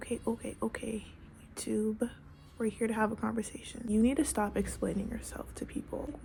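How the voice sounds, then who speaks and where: Noticeable background noise sits behind a soft-spoken woman. She talks at a moderate pace with monotone, flat intonation. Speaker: lifestyle vlogger. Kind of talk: casual talk to camera.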